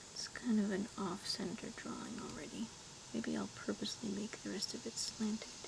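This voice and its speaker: Whispered words come at a moderate pace against noticeable background noise. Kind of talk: ASMR soft-spoken rambling while drawing. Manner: soft-spoken, rambling, casual.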